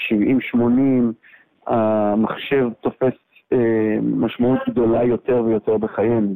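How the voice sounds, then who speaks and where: In a monotone, flat intonation, a man speaks very slowly at a medium pitch. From Israel. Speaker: tech executive and investor. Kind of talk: interview. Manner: halting.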